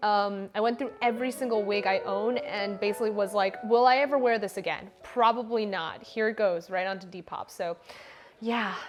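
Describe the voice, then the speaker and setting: Over background music, a woman talks at a moderate pace with a fairly high pitch and ordinary pitch variation. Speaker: streamer and cosplayer. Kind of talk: casual live-stream chat while baking. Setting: home kitchen live stream. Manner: casual, chatty.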